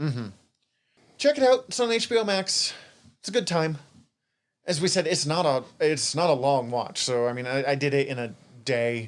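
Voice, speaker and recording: Lively intonation in an American accent, a moderate pace with long, frequent pauses, on a very clean recording with a silent background. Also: man, fairly high pitch for a man. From Montana, US. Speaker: podcast co-host. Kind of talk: casual chat.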